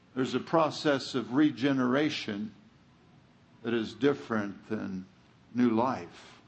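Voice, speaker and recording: With audible room echo around him, a man speaks at a fairly slow pace and medium pitch, showing ordinary pitch variation and taking long, frequent pauses. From California. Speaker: guest preacher. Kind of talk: sermon.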